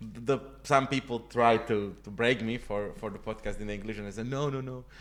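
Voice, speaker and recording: Speaking with a Slovak accent at a medium pitch, a man keeps fairly even intonation while his loudness swings widely. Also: moderate pace. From Slovakia, north (High Tatras). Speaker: stand-up comedian. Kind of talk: casual interview. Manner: halting, repeats words while searching for English.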